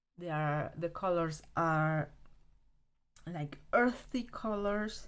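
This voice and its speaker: A woman with a Romanian accent, fairly low in pitch, at a very slow pace with lively intonation. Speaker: art supply hobbyist video creator. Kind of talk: casual show-and-tell review. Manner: halting, with many fillers.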